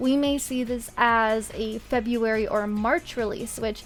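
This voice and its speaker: A woman's fairly high voice with fairly even intonation, music playing in the background. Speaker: gaming content creator. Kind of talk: gaming commentary voiceover.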